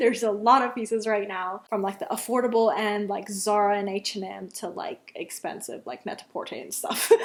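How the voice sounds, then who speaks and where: With a non-native accent and a fairly high pitch, a woman talks at a moderate pace with hardly any pauses and big swings in loudness. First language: not English. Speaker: fashion vlogger. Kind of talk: casual vlog talk to camera. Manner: chatty, many fillers.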